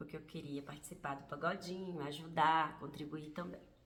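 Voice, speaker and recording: Audible room echo around a woman speaking with ordinary pitch variation. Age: 50s. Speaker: vlogger. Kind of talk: personal testimony vlog.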